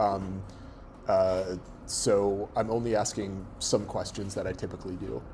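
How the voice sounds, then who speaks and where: The voice has a dark, mellow tone. Audible room echo surrounds it. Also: man. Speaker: university lecturer. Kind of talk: lecture. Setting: classroom with students. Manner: halting, many fillers.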